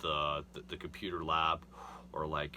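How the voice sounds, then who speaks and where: A man's voice has a very deep, low pitch and a bright, sharp tone. Vocal fry runs through it. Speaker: self-improvement youtuber. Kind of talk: casual monologue. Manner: halting, many fillers.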